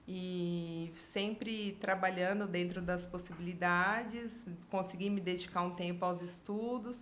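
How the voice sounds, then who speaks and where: The speech comes at a very slow pace with hardly any pauses, in very even loudness and fairly even intonation. Audible room echo surrounds it. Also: woman, medium pitch for a woman. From Brazil, Bauru (São Paulo state). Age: 40s. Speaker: career consultant. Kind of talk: podcast interview.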